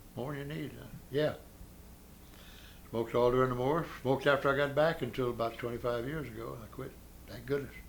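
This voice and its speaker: A man with an American accent speaks at a fairly quick pace with vocal fry and fairly even intonation. Long, frequent pauses break up his speech, and room echo is audible. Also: medium pitch for a man. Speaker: war veteran. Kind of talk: oral history interview. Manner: halting.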